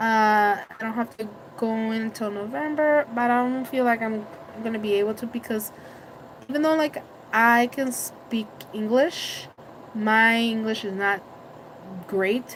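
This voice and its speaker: Speaking fairly slowly with long, frequent pauses, a woman with a Spanish accent uses a fairly high voice and ordinary pitch variation. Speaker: vlogger. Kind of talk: casual live stream chat. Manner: loud; halting.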